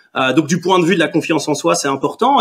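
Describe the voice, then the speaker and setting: His voice as a man is high-pitched. The pitch rises and falls in an ordinary way. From Belgium, Tunisian heritage. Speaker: startup co-founder. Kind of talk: casual chat.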